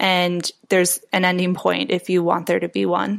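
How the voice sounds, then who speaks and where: A woman speaks in a medium pitch with an American accent. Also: very clean recording, silent background. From US Midwest, Chicago area. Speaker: chiropractic student intern. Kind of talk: interview.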